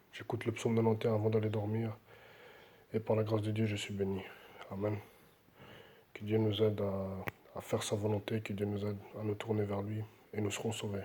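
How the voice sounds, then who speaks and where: This soft-spoken man has a fairly low, somewhat breathy voice with a dark, mellow tone. He talks at a fairly quick pace in a flat monotone, leaving long, frequent pauses. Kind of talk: devotional talk with scripture reading.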